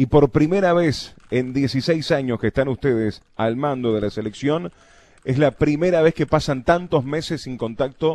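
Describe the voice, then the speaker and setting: A man in a Uruguayan accent speaks at a moderate pace and medium pitch, with ordinary pitch variation and a dry, close sound with no echo. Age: 30s. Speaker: radio host. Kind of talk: radio interview. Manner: halting.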